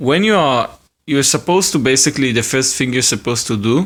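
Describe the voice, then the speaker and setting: Over a silent background in a very clean recording, a man speaks with an Israeli accent. His medium pitch carries lively intonation. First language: Hebrew. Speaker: hobbyist video maker. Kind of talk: tutorial. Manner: casual, with hesitations.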